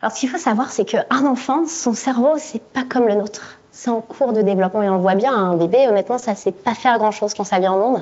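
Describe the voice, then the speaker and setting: Fairly high in pitch, a woman speaks at a fairly quick pace with ordinary pitch variation. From France. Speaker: neuroscientist. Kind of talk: conference talk.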